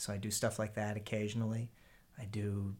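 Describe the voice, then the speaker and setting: Over a silent background in a very clean recording, a man with an American accent talks at a fairly low pitch with monotone, flat intonation. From Pennsylvania, Harrisburg. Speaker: musician. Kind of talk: casual chat. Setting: in-person recording in a house. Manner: halting, repeats words.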